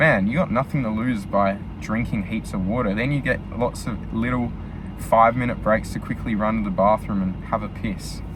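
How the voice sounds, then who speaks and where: Man with an Australian accent, fairly low pitch, ordinary pitch variation, noticeable background noise. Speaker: vlogger, truck driver. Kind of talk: casual vlog monologue. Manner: fast; filler-heavy.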